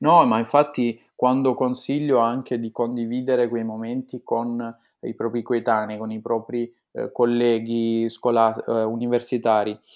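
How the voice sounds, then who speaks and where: At a fairly slow pace, a man talks in a monotone, flat delivery at medium pitch. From Italy, Apulia. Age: 20s. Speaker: law student. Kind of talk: interview. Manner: halting, many fillers and repetitions.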